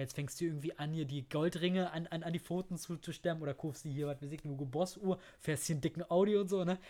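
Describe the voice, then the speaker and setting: The recording is very clean with a silent background. A man talks very fast with fairly even intonation. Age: 30s. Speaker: podcast host. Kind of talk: casual chat. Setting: at the guest's home.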